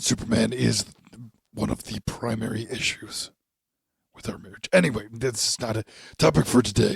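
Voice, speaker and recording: Using a raspy, put-on character voice at a medium pitch, a man speaks at a moderate pace with ordinary pitch variation and long, frequent pauses, recorded dry and close with no echo. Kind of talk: radio commercial pitchman. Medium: audio drama. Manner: confident, showman-like.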